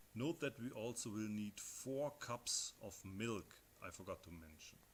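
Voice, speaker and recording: A man with a German accent speaks at medium pitch, somewhat breathy. His pace is fairly slow and his intonation lively. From Germany. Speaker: home cook. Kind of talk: cooking tutorial. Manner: casual with many hesitations.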